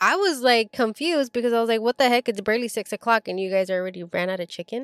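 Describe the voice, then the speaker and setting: With an animated tone and ordinary pitch variation, a woman speaks at a fairly high pitch in a dry, close sound with no echo. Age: 20s. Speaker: podcast host. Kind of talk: casual chat.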